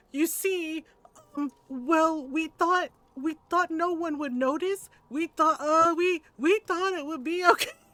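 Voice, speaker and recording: This is a put-on character voice at a fairly slow pace. The sound is dry and close, with no echo. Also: woman, extremely high pitch for a woman. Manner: stammering, nervous.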